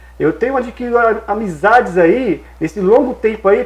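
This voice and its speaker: With a Brazilian accent, a man speaks at a moderate pace in a high voice. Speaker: TV interview host. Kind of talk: TV interview.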